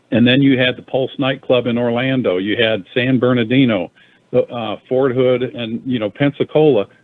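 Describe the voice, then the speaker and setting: This man has a plain, everyday voice, medium in pitch, with fairly even intonation and a moderate pace. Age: 60s. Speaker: former congressman, radio co-host. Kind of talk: talk radio discussion.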